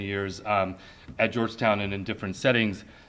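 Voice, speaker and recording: The man's bright, sharp voice moves at a fairly quick pace, with audible room echo. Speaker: English professor, department chair. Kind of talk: conference talk, unscripted. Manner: halting, many fillers.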